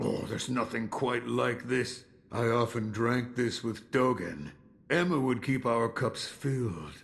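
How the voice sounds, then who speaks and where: A man's put-on character voice at a medium pitch, fairly slow pace and very even loudness. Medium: video game. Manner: slow, reflective.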